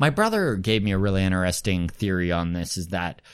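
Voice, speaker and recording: With a Canadian prairie accent and a very deep, low pitch, a man speaks with ordinary pitch variation on a very clean recording with a silent background. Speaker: comedian. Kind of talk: casual chat.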